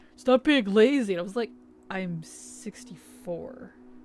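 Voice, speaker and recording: With music in the background, a woman speaks very slowly at a medium pitch. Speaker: video game streamer. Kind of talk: casual live-stream chat while gaming. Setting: live stream. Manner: casual, chatty.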